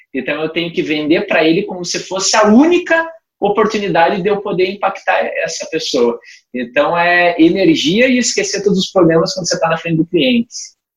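A man speaks with a high pitch and lively intonation. His pace is fairly quick. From Paraná, Brazil. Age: 30s. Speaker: life insurance franchise manager. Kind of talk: casual chat.

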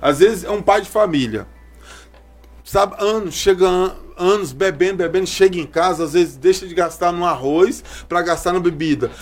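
Over music in the background, a man with a high voice talks at a moderate pace, with ordinary pitch variation and big swings in loudness. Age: 30s. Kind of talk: podcast interview.

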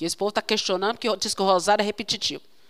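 In an animated tone, a woman speaks with a fairly high pitch. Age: 40s. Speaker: consecrated religious sister preaching. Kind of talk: sermon.

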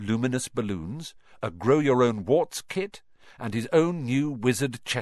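A reading voice that sounds natural

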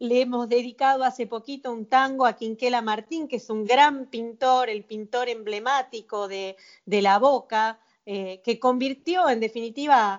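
Speaking at a fairly slow pace, a woman keeps her fairly high voice fairly even in intonation. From Argentina, Mar del Plata. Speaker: tango singer and physicist. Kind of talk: interview. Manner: halting, many fillers.

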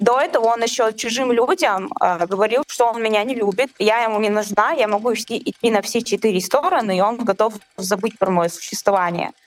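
Ordinary pitch variation at a moderate pace, noticeable background noise underneath. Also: woman, fairly high pitch for a woman. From Chechnya. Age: 20s. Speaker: guest sharing personal story. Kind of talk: testimony in conversation.

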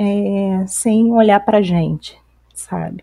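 Very slowly, a woman speaks with a dark, mellow tone. The recording is very clean, with a silent background. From Campos dos Goytacazes, Rio de Janeiro state, Brazil. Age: 30s. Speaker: psychologist and activist. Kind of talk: casual discussion podcast. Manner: halting, many fillers.

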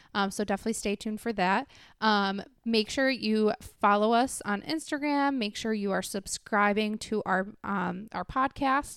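A woman with a normal speaking voice talks at a moderate pace, her fairly high pitch showing ordinary variation. The recording is very clean and dry, close with no echo and a silent background. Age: 20s. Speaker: podcast co-host. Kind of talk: casual chat.

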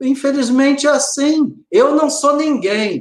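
Speaking at a very slow pace, the man has an extremely high pitch. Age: 40s. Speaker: lawyer and conservative commentator. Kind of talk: live-stream interview.

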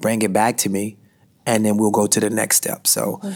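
On a very clean recording with a silent background, a man speaks with an American accent at medium pitch. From Washington, D.C. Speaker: podcast co-host and business coach. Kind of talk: casual chat.

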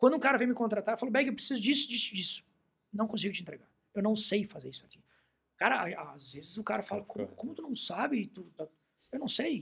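This man speaks very fast in a high voice with lively intonation, big swings in loudness, and long, frequent pauses. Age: 30s. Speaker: journalist and writer. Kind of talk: casual chat.

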